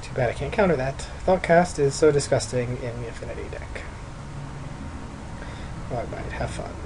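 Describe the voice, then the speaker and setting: A man speaks with long, frequent pauses. Noticeable background noise runs behind him. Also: moderate pace. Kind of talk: gameplay commentary. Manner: casual, thinking aloud.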